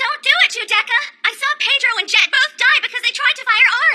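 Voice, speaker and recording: A woman puts on a cartoonish character voice at an extremely high pitch. She talks at a fairly quick pace. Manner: emotional, urgent.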